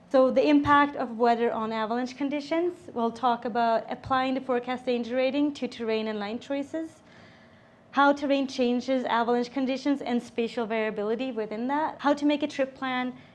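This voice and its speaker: A woman's high voice at a fairly quick pace, with fairly even intonation. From Sweden. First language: Swedish. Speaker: avalanche safety instructor. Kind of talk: seminar presentation. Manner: casual, with filler words.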